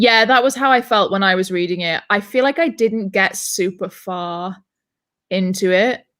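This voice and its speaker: A woman at medium pitch and moderate pace, with ordinary pitch variation, on a very clean recording with a silent background. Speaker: booktube host running a reading sprint livestream. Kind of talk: casual chat on a livestream. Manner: loud.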